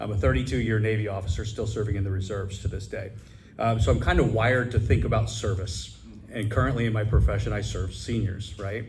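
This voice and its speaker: With vocal fry and a fairly low pitch, a man speaks at a very fast pace with ordinary pitch variation and audible room echo. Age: 50s. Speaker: assisted living director and Navy reserve officer. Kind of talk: audience question at a public forum. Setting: business roundtable with audience.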